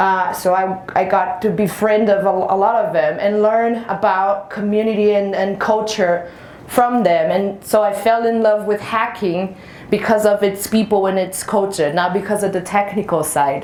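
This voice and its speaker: A woman's medium-pitched voice at a moderate pace, with fairly even intonation and very even loudness, amid noticeable background noise and audible room echo. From Brazil. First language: Portuguese. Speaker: penetration tester. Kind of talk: conference talk.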